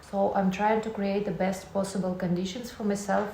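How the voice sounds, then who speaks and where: Noticeable background noise and audible room echo surround a woman speaking with a Russian accent at a medium pitch. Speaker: vlogger. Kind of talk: casual vlog talk to camera.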